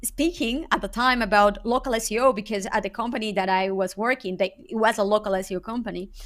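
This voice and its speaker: A woman with a Spanish accent, fairly high-pitched and very fast with hardly any pauses, ordinary pitch variation, on a very clean recording with a silent background. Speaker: SEO consultant. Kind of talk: interview. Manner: halting, with many repeated words.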